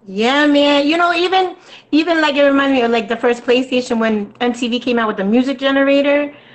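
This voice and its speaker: Over noticeable background noise, a woman talks very fast in a high voice with ordinary pitch variation. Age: 30s. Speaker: rapper and singer. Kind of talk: interview.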